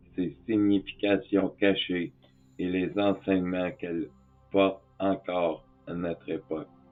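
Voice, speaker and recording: Against music in the background, a man with a very deep, low pitch speaks very slowly, his intonation fairly even. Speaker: spiritual teacher. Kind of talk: tutorial. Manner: calm.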